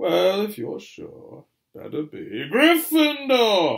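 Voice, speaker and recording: Using a put-on character voice pitched extremely high, a man speaks at a very slow pace. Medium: read story. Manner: thoughtful, deliberating.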